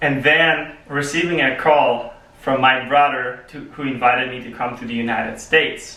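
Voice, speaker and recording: With a Polish accent, a man of medium pitch speaks at a moderate pace, his intonation fairly even but his loudness swinging widely. Room echo is audible, and background noise is noticeable. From Poland. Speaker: public speaking club member. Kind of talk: prepared speech.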